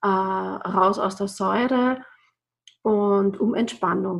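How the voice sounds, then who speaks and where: The voice is somewhat breathy and keeps a fairly even intonation. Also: woman. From Austria, Burgenland (Bad Sauerbrunn). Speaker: yoga and breathing trainer. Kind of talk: podcast interview.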